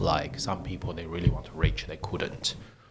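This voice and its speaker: A man is speaking. He has a non-native accent. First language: not English. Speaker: tech startup CEO. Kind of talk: interview. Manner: halting.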